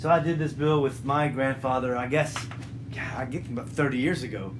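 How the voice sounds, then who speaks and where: With music in the background, a man speaks at a fairly quick pace and a medium pitch, his intonation fairly even. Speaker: interviewer. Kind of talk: interview questions.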